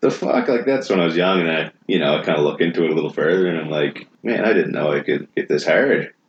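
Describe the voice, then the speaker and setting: A man mumbling at a very fast pace, with hardly any pauses. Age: 30s. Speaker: firefighter. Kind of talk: casual chat. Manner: flat, eerie cadence.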